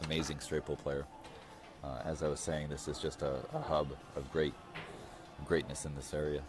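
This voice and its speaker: Against music in the background, a man speaks in a very deep, low voice with monotone, flat intonation. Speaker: pool match commentator. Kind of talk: live commentary. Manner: halting, many fillers.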